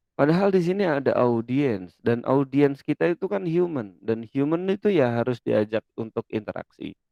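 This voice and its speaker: A man talks with very wide pitch swings. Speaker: lecturer. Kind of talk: lecture. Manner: loud.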